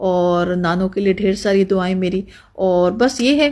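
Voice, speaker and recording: Speaking with fairly even intonation, a woman has a plain, everyday voice. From Pakistan. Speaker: family vlogger. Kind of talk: cooking recipe explanation.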